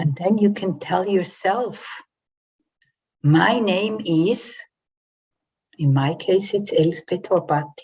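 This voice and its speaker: A somewhat breathy voice with a dark, mellow tone moves at a very slow pace. Long, frequent pauses break up its ordinary pitch variation. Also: woman, medium pitch for a woman. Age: 60s. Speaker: coach and trauma therapist. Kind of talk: online talk.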